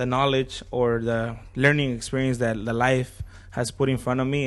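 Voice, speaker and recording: Flat, monotone intonation marks this man's speech. He has a medium pitch and speaks with a Spanish accent. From Acapulco, Mexico. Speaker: DJ, sports broadcaster and business owner. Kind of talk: podcast interview. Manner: code-switching between Spanish and English.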